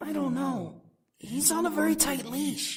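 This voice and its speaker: Someone does a put-on character voice with a low pitch at a moderate pace. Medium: video game. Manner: cocky, teasing.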